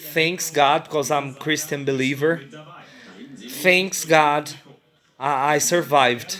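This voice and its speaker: With music in the background, a man speaks with a non-native accent. His voice is fairly high, with fairly even intonation. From Brazil. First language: Portuguese. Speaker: vlogger. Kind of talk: personal testimony. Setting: hotel room. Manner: halting.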